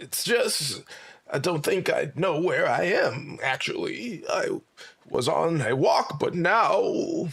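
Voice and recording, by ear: This man puts on a character voice with a high pitch. He speaks at a fairly slow pace.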